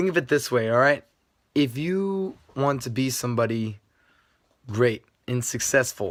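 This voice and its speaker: A soft-spoken man of medium pitch at a fairly slow pace. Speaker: video blogger. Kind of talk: casual vlog talk. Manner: quiet, soft-spoken.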